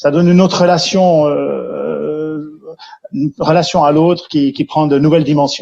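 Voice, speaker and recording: A man with a Jura accent talks at a fairly slow pace and a fairly high pitch. His intonation is fairly even and his loudness very even. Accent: Swiss French (Jura). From Switzerland, Jura region. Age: 50s. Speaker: care centre founder, entrepreneur. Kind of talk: testimony interview. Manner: hesitant, many fillers.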